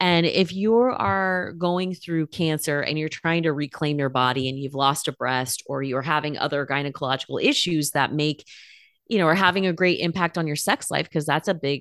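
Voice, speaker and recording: Against a quiet background, a woman with an American accent and a very deep, low voice speaks at a moderate pace with ordinary pitch variation. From California, US West Coast. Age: 40s. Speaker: nutritional therapy practitioner and meditation teacher. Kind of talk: interview conversation. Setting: remote call.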